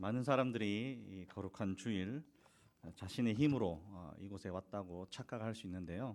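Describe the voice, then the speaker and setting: A man's fairly low-pitched voice in a Busan accent. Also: ordinary pitch variation, moderate pace. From South Korea, Busan. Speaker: missionary preacher. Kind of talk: sermon. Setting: church.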